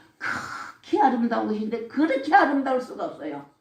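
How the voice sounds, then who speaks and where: In a Gyeongsang accent, a woman with a high voice speaks at a moderate pace amid audible room echo. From Gyeongsang region, South Korea. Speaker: church deaconess giving testimony. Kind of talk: religious testimony. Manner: blunt, rough-spoken.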